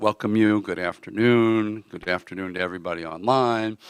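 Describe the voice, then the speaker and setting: A man with an American accent speaks in a fairly low pitch, the sound dry and close with no echo. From United States. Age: 60s. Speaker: event interviewer. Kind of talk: event welcome speech. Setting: live event room with audience and online stream.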